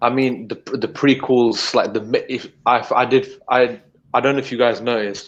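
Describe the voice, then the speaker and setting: The speaker is a man with a British accent and a medium pitch. He talks at a moderate pace in a monotone, flat intonation. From United Kingdom. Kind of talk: casual chat. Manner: halting.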